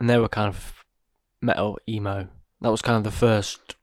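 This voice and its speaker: On a very clean recording with a silent background, a man with an English accent speaks at a moderate pace, his pitch fairly low and his pitch variation ordinary. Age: young. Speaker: podcast co-host. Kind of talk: casual chat.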